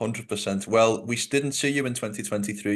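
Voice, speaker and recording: A man talks at a very fast pace with a Liverpool accent. His intonation is fairly even, and the background is quiet. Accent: Scouse. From Liverpool, England. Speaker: MMA interviewer, podcast host. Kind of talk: interview.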